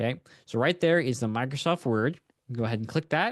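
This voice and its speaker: Recorded with a dry, close sound and no echo, a man at medium pitch talks at a fairly quick pace with ordinary pitch variation. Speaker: software tutorial webinar host. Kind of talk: tutorial. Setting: live webinar. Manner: casual, conversational; fast.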